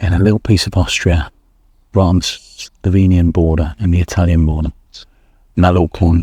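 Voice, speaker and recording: A man with a very deep, low pitch and a dark, mellow tone speaks at a moderate pace, somewhat breathy, with very even loudness, fairly even intonation, and long, frequent pauses. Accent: English. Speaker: motorcycle travel vlogger. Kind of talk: casual vlog talk to camera. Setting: campsite outdoors.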